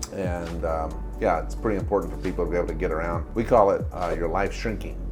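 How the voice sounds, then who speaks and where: A man speaks very fast as music plays in the background. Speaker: clinician. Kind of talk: patient interview questions.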